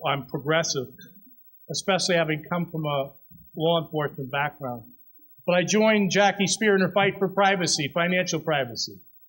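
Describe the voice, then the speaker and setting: This man's voice sits high in pitch. He talks at a moderate pace with ordinary pitch variation. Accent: American. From San Francisco. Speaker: politician. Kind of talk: campaign speech. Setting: candidate forum with audience, microphone.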